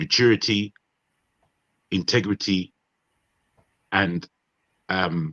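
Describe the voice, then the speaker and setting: Speaking very slowly with long, frequent pauses, a man uses a British accent and a fairly low pitch with ordinary pitch variation. The tone is bright and sharp, and the sound is dry and close with no echo. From Nigeria. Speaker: panelist on a marathon online talk show. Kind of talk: casual group discussion. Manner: animated.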